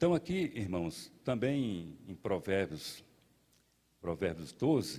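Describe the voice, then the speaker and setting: In a dark, mellow tone, a man speaks at a very slow pace with very wide pitch swings. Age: 60s. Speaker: pastor. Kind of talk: sermon. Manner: halting.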